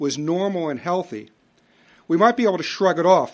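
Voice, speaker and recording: A man with an American accent and a high-pitched voice at a moderate pace, on a very clean recording with a silent background. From US Northeast, Philadelphia. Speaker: lecturer. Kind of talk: lecture. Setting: stage with audience.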